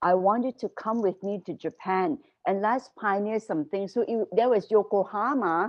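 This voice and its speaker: Here is an unremarkable speaking voice from a woman at a medium pitch. She keeps a moderate pace with ordinary pitch variation. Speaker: former school staff leader. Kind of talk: casual interview chat.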